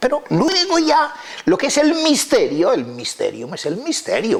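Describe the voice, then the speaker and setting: Fairly slow speech from a man, noticeable background noise underneath. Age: 70s. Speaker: lexicologist and Latin expert. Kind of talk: interview talk. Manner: halting, with many fillers.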